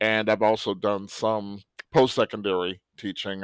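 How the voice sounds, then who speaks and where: A man with an American accent and a fairly low pitch is heard on a very clean recording with a silent background, dry and close with no echo. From Cleveland, Ohio, US Midwest. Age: 60s. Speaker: high school French teacher. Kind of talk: podcast interview.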